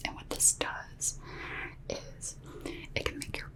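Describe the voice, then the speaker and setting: Someone whispers at a fairly slow pace. Noticeable background noise runs under the voice. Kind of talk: ASMR makeup roleplay. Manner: whispered; soft-spoken, slow.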